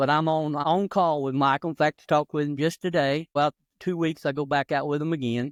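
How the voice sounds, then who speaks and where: A man with an Appalachian accent speaks in a fairly high pitch at a fairly quick pace, his intonation monotone and flat against a quiet background. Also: dry, close sound with no echo. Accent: Appalachian Southern US. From North Carolina mountains. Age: 60s. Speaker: retired gospel drummer. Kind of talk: interview. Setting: podcast.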